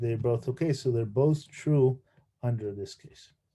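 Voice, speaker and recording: Here a man has a dark, mellow tone and sounds somewhat breathy. The background is quiet. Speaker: university lecturer. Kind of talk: lecture. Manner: halting, many fillers and repeats; mumbling.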